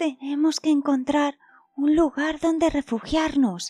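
A woman's put-on character voice at a high pitch and fairly slow pace, with faint music in the background

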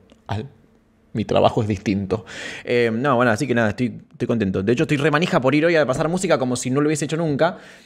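Against a quiet background, a man speaks very fast, his pitch varying in an ordinary way. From Santa Fe province, Argentina. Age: 30s. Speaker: streamer. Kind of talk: casual live stream chat. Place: home room. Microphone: studio mic.

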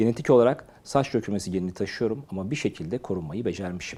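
Very fast and fairly low in pitch, a man speaks with a dark, mellow tone and ordinary pitch variation in a very clean recording with a silent background. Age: 50s. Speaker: doctor. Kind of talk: health advice talk to camera.

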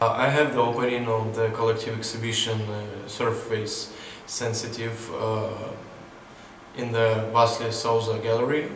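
A man speaks at medium pitch in a monotone, flat intonation, with audible room echo and light background noise. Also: moderate pace. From southern Ukraine, Mykolaiv. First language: Ukrainian or Russian. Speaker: photographer. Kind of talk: interview monologue. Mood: calm, reflective. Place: hall.

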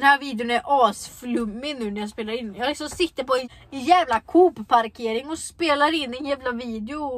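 A high-pitched woman's voice shows ordinary pitch variation and big swings in loudness. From Sweden. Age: young. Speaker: vlogger. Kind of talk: casual vlog talk. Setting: in a car. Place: car. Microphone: phone near.

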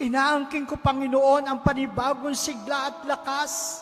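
Someone speaks with a Filipino accent over noticeable background noise. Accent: Filipino English and Tagalog. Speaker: prayer leader. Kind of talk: fervent healing prayer. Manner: earnest, pleading, imploring; emphatic, rising to commanding declarations.

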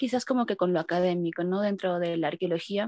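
Ordinary pitch variation over a quiet background, with a dry sound and no echo. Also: woman. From Peru. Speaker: archaeologist and feminist activist. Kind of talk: participant introduction. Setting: video call. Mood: reflective, somewhat hesitant. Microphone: video call.

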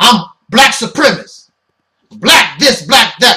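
A man speaks in a raised, projected voice at a fairly slow pace. The background is quiet. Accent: American. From United States. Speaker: internet ministry host and commentator. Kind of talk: opinionated sermon-style monologue. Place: home room. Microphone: webcam.

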